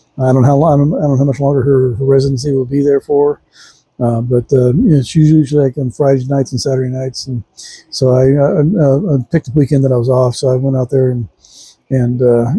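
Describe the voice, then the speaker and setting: Dry and close with no echo, a man's somewhat breathy, dark, mellow voice at medium pitch moves at a very fast pace with fairly even intonation. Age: 60s. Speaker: vlogger reviewing a concert. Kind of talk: casual monologue review. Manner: halting, many fillers.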